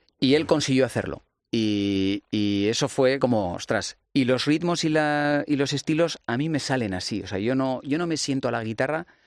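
Man with an unremarkable speaking voice, medium pitch and lively intonation, over a quiet background. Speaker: musician. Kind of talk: casual chat.

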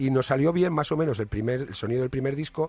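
Against a quiet background, a man with a somewhat breathy voice talks at a fairly quick pace. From Ibiza, Spain. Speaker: musician in a band. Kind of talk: casual interview. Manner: halting, repeats words.

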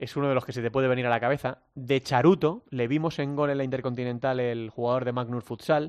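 Here is a man with a plain, everyday voice at a medium pitch. He talks at a moderate pace with fairly even intonation. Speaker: futsal radio show host. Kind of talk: sports talk show.

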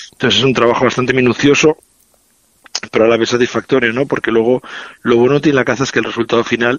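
A man at medium pitch, monotone and flat, very even in loudness, at a very fast pace broken by long, frequent pauses. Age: 40s. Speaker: chef. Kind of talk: interview and recipe explanation.

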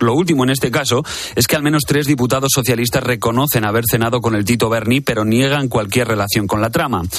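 A man at medium pitch talks at a very fast pace, his pitch varying in an ordinary way. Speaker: news presenter. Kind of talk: news reading.

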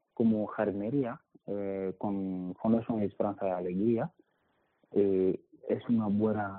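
A man speaking at a very slow pace. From Mali. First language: not Spanish (speaking Spanish). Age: 20s. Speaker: migrant. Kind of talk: interview testimony. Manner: halting, repeats words.

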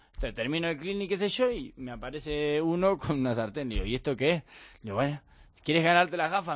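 Speech in an Argentine accent rushes at a very fast pace with lively intonation over a quiet background. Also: man. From Argentina, Bahía Blanca. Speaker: professional padel player. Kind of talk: interview. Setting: studio.

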